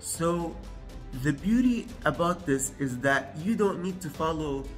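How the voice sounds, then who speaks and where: A man at a very slow pace, with clear music in the background. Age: 20s. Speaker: self-improvement youtuber; presenter. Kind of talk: tutorial. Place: kitchen.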